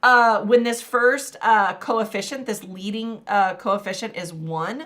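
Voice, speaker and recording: A woman with a slight Texas accent speaks at a very slow pace. Her voice sits fairly high, with ordinary pitch variation. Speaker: math teacher. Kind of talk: live-stream tutorial. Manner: casual, many fillers.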